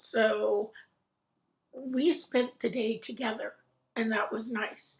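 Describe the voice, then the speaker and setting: A woman with an American accent speaks at a very slow pace, leaving long, frequent pauses. Her fairly high voice is somewhat breathy, with fairly even intonation. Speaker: crafting vlogger. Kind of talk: casual chat.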